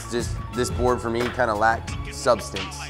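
Clear music plays behind a man as he speaks. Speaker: snowboard reviewer. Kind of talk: casual review chat. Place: studio.

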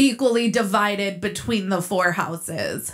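Faint music sits in the background. A woman is speaking. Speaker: reality TV commentary youtuber. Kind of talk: commentary. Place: home room.

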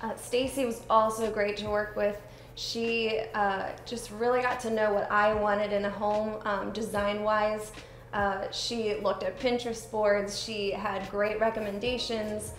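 At a fairly slow pace, a woman speaks in a fairly high pitch with monotone, flat intonation. Light background noise and audible room echo surround her. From Hanover, Pennsylvania; Pennsylvania. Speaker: homebuyer giving customer testimonial. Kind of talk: testimonial. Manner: hesitant with many fillers. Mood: warm, appreciative. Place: home room.

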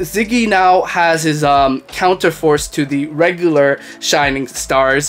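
Against faint background music, a man speaks with ordinary pitch variation. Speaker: anime reviewer. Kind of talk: episode review commentary. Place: home room. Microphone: studio mic.

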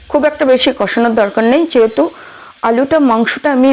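A woman with a high voice speaks with ordinary pitch variation over noticeable background noise. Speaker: vlogger. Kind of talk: casual vlog narration and cooking tutorial. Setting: at home, kitchen, garden and rooftop.

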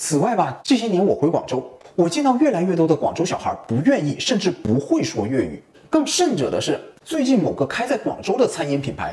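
Loud background noise runs under speech delivered at a fairly quick pace. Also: man. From Guangzhou, China. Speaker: video creator. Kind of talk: casual talk to camera. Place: kitchen.

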